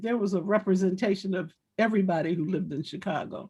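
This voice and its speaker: Here a woman talks with an American accent at a moderate pace. Her voice is somewhat breathy, with lively intonation. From Washington, D.C. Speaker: former activist. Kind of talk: panel discussion. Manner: halting.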